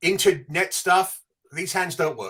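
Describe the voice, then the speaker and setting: This man speaks with an English accent at a fairly slow pace. His voice is high-pitched, with a bright, sharp tone. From England. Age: 50s. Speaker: podcast co-host, comic book expert. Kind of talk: casual chat.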